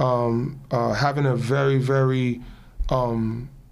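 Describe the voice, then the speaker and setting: A man with an American accent speaks at a medium pitch in a flat monotone, and the room echo is audible. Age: 40s. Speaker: show basketball player and media host. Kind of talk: casual interview.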